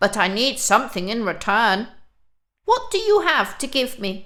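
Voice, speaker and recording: A woman's put-on character voice, fairly high in pitch, with lively intonation at a moderate pace. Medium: read story.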